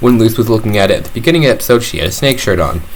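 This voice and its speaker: A man speaks with medium pitch. Audible room echo and noticeable background noise fill the recording. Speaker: YouTuber reviewing a cartoon episode. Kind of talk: casual video review. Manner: halting, with fillers and restarts.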